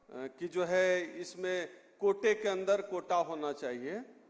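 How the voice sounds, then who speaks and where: Ordinary pitch variation in a man's voice that sits high. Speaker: political activist speaker. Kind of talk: public speech. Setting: stage with audience. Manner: loud.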